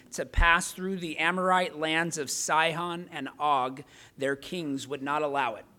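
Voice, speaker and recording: A man with a fairly high, bright, sharp voice speaks at a fairly slow pace with fairly even intonation. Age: 40s. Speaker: pastor. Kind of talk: sermon. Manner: halting.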